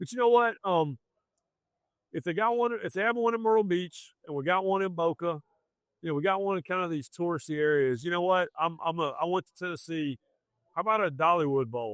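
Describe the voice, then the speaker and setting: Speaking fairly quickly with a Southern accent, this man has a high pitch and lively intonation, recorded with a dry, close sound and no echo. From US South. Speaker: sports journalist. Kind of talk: podcast interview. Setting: live event. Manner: animated.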